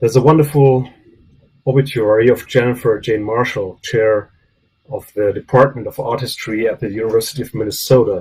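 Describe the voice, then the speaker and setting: A man with a non-native accent and medium pitch speaks at a moderate pace, somewhat breathy, his intonation fairly even. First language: not English. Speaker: professor. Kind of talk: memorial tribute speech. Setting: video call. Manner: halting.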